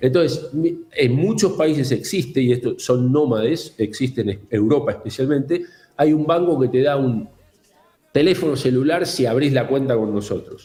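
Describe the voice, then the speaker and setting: A man with a fairly high pitch, a dark, mellow tone and a somewhat breathy quality speaks at a moderate pace, his pitch varying in an ordinary way and his loudness very even. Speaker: fintech executive. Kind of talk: interview.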